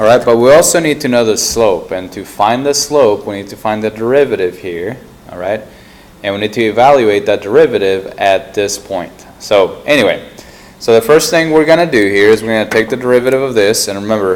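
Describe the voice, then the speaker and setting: A man's medium-pitched voice with ordinary pitch variation, big swings in loudness and noticeable background noise. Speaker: math teacher. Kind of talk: tutorial. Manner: soft-spoken.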